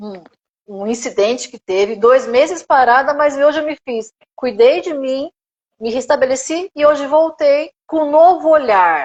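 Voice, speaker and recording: Captured with a dry, close sound and no echo, a woman speaks high and fairly slowly with lively intonation. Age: 50s. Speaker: gerontology teacher and therapist. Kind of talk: live stream interview.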